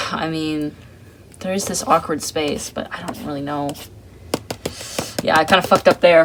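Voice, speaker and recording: A man's speech moves at a medium speed. Noticeable noise can be heard behind it. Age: 20s. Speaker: artist vlogger. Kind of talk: casual chat while drawing. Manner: casual, rambling slangy speech.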